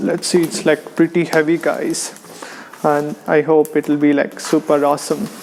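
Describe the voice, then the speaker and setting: A man's fairly high voice in a monotone, flat intonation at a fairly slow pace, over noticeable background noise. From India. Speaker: online business course reviewer. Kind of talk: casual unboxing talk to camera.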